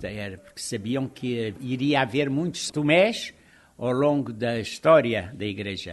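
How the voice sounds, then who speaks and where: A man at a medium pitch with ordinary pitch variation and a fairly slow pace, over a quiet background. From Portugal, Lisbon. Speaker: religious brother. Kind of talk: interview. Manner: animated.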